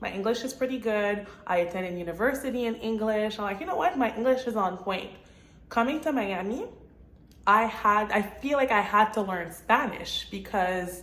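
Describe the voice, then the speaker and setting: Audible room echo surrounds a woman with a Quebec accent who speaks at a moderate pace, fairly high pitch and ordinary pitch variation. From Montreal, Quebec, Canada. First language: French. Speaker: real estate agent and vlogger. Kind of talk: casual vlog monologue.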